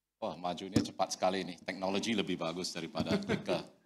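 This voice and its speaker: Fairly even intonation in a man's very deep, low voice, moving at a fairly quick pace. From Singapore. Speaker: company director. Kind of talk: conference presentation. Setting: stage with audience.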